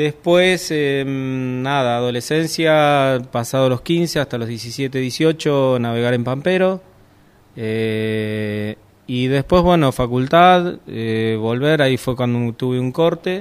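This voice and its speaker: Very slow speech from a man, medium in pitch, with ordinary pitch variation. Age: 50s. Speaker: sailing instructor. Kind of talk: interview. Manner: halting.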